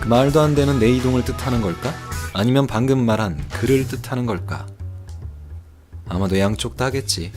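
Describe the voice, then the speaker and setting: With music in the background, a man speaks at a moderate pace and a medium pitch. His pitch variation is ordinary, and he pauses long and often. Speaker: game streamer. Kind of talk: reading a game's story text aloud as narration.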